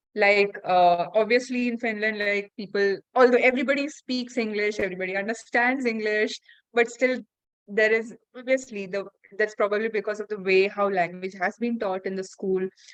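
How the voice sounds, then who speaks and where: With a Keralan accent, a woman speaks at a moderate pace in a fairly high pitch and fairly even intonation. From India. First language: Malayalam. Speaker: podcast host. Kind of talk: casual interview chat. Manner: halting, many fillers.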